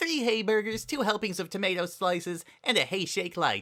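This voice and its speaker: In a put-on character voice at a middle pitch, the speaker goes at a fairly quick pace on a very clean recording with a silent background. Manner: cheery, fast.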